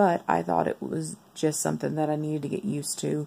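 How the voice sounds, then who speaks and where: The pace is fairly slow. Noticeable background noise is present. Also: woman. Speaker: vlogger sharing medical recovery. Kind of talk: video diary.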